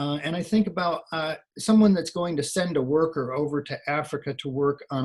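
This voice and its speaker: A moderate pace carries this somewhat breathy voice. Its pitch varies in an ordinary way. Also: man. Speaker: occupational hygienist presenter. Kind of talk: webinar presentation. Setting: online webinar.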